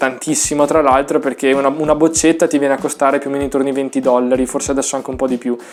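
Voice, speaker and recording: A man speaks with a Venetian accent over noticeable background noise. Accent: Venetian Italian. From northern Italy, Veneto (Vicenza province). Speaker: trumpet teacher. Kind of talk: tutorial. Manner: casual, hesitant fillers.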